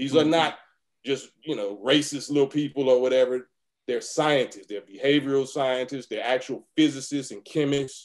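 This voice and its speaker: With an American accent, a man talks at a moderate pace in a normal speaking voice, his pitch fairly high and his intonation fairly even, though his loudness swings widely. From US West Coast. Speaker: rapper. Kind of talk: interview answer.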